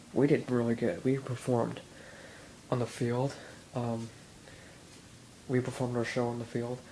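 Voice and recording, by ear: A man at a medium pitch talks at a fairly slow pace with a dark, mellow tone and little pitch movement.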